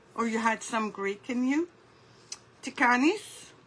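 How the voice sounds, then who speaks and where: A woman with a high pitch and lively intonation speaks over noticeable background noise. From United Kingdom (born in Lebanon). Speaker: craft artist. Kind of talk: live craft tutorial. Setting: livestream in a Facebook group.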